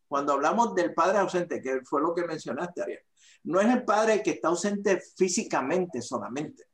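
With lively intonation, a man talks at a fairly quick pace in a high voice. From Puerto Rico, Aguadilla (northwest). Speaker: fatherhood ministry leader. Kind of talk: interview.

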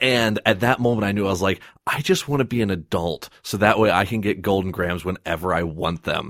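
This man speaks fairly quickly with hardly any pauses, in an unremarkable speaking voice. His pitch is fairly low, with ordinary variation. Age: 20s. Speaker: podcast host. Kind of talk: casual chat.

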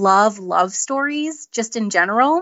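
A woman with a plain, everyday voice, a fairly high pitch, lively intonation, and a fairly slow pace. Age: 30s. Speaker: author. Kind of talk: interview. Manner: laughs often.

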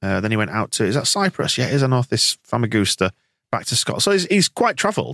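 In an English accent, a man with a medium pitch and a bright, sharp tone talks at a very fast pace with very wide pitch swings and very even loudness, the sound dry and close with no echo. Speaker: podcast host. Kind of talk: casual chat.

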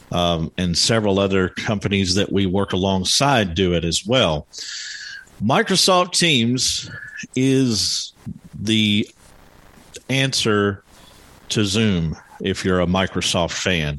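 The speech moves at a very slow pace with long, frequent pauses, very even loudness and ordinary pitch variation. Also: man, fairly low pitch for a man. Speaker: podcast host. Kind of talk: live support group meeting. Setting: live online meeting with home audio mixer. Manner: screen reader demo, walking through menus.

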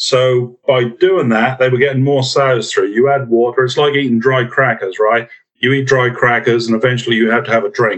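This man talks at a fairly quick pace with hardly any pauses, in a monotone, flat intonation. His pitch is medium, his loudness very even, and he has an American accent. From UK. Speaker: group housing specialist, swine industry expert. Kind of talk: interview, casual expert talk.

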